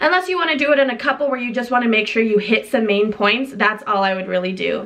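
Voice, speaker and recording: An animated, raised and projected voice moves at a fairly quick pace with very wide pitch swings, over noticeable background noise. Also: woman. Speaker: vlogger, college student. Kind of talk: casual vlog talk.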